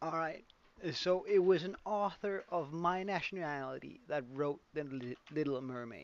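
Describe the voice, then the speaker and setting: A man with a Danish accent, fairly high-pitched, at a fairly slow pace. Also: ordinary pitch variation. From Denmark. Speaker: gaming streamer. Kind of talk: live stream gameplay chat. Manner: casual, hesitant with fillers.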